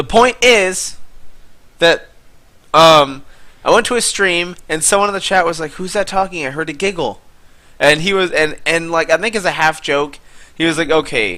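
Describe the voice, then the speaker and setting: Long, frequent pauses break up a moderate pace, with ordinary pitch variation and a bright, sharp tone. The recording is very clean, with a silent background. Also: man, high pitch for a man. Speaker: gaming YouTuber. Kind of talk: gameplay commentary. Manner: soft-spoken.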